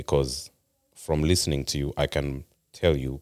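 Very deep and low in pitch, a man speaks with monotone, flat intonation. The sound is dry and close with no echo. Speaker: podcast guest. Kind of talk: casual chat. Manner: passionate.

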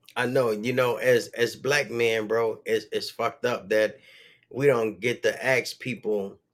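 An unremarkable speaking voice moves at a fairly slow pace with fairly even intonation in a very clean recording with a silent background. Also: man, medium pitch for a man. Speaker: podcast host. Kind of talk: casual chat. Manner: laid-back, filler-heavy.

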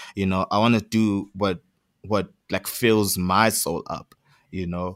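Recorded very cleanly against a silent background, with a dry, close sound and no echo, a man talks at a fairly slow pace in a fairly low pitch with monotone, flat intonation. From South Africa. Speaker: musician. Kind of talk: interview. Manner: casual, halting with fillers.

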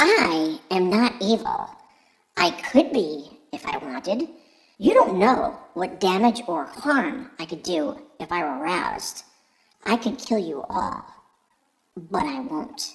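Pitched fairly high, the put-on character voice moves at a fairly slow pace with very wide pitch swings and long, frequent pauses. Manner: menacing, boastful.

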